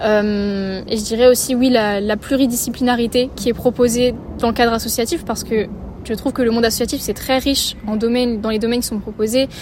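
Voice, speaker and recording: Over noticeable background noise, a woman speaks at a fairly quick pace. Her pitch is fairly high and her intonation monotone and flat. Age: 20s. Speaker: civic service volunteer. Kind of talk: interview. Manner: hesitant, many fillers.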